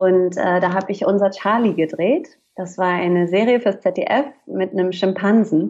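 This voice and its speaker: Pitch moves with ordinary variation at a moderate speed. The delivery is an ordinary speaking voice. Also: woman, medium pitch for a woman. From northern Germany, Hamburg. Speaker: actress and voice actor. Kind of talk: casual interview chat.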